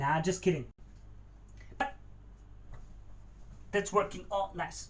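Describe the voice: Speaking slowly, a man with a high pitch and fairly bright tone shows ordinary pitch variation.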